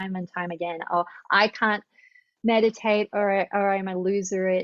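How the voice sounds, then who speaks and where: With an American accent, the speaker keeps a moderate pace and fairly even intonation over a dry, close sound with no echo. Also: woman. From Australia. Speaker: yoga therapist. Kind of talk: interview.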